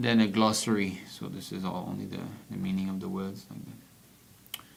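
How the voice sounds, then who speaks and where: A man's fairly low voice at a moderate pace, with fairly even intonation, big swings in loudness and audible room echo. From French-speaking region. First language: French. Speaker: devotional book reader. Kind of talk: reading aloud with commentary. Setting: livestream.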